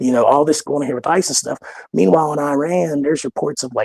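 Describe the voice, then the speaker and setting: With a West Virginia accent, a man talks at a very fast pace and a fairly high pitch with ordinary pitch variation, in a dry, close sound with no echo. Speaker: caller. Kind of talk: casual chat. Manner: halting, many fillers.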